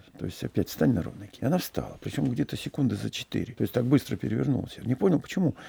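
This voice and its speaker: A man at medium pitch talks at a very fast pace with hardly any pauses, his dark, mellow tone carrying vocal fry and very wide pitch swings in a dry, close sound with no echo. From Russia, Saratov then Omsk. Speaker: yacht captain and traveler. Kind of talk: interview storytelling.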